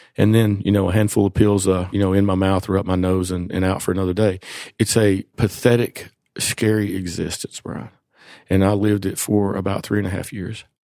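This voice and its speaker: With an East Tennessee accent, a man talks at a fairly quick pace in a dark, mellow tone with monotone, flat intonation. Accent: Southern US, East Tennessee Appalachian. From East Tennessee, rural Appalachia. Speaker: physician in addiction recovery. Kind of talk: interview, personal testimony.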